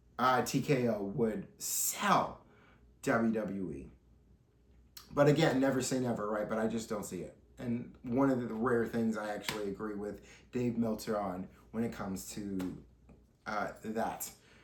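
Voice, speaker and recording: Medium-pitched man with an animated tone and ordinary pitch variation, at a fairly slow pace with long, frequent pauses and audible room echo. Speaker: wrestling news podcaster. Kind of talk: solo commentary podcast.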